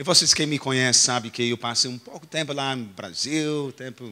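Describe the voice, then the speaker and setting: His delivery comes at a fairly quick clip. The man's pitch rises and falls an ordinary amount. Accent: English. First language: English (speaking Portuguese). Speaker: pastor. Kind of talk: sermon. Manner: halting, self-correcting.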